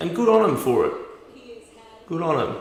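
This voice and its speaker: A man with an Australian accent, over noticeable background noise and audible room echo. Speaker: live stream host. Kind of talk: live watch-party commentary. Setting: livestream. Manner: casual; halting, many fillers.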